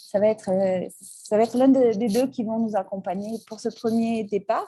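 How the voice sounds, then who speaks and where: A woman speaks in a Basque accent at medium pitch with ordinary pitch variation. Her tone is dark and mellow, and somewhat breathy. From French Basque Country. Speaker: travel trip presenter. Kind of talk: presentation talk. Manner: hesitant, many fillers.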